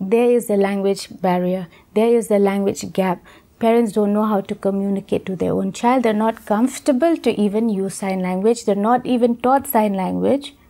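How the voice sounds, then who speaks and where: This woman has a fairly high pitch with ordinary pitch variation and a dark, mellow tone. She speaks with an Indian accent. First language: Khasi. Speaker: deaf education expert. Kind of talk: educational interview. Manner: halting.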